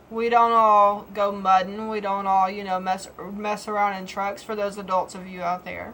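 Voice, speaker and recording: A woman with a strong Southern US accent speaks at a medium pitch and a moderate pace. Her intonation is monotone and flat, while her loudness swings widely. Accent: Southern US, heavy. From Georgia, US South. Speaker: vlogger. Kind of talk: casual vlog monologue. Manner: halting.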